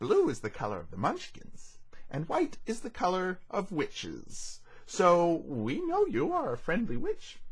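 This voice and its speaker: At a moderate pace, a man puts on a character voice with a high pitch. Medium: read story.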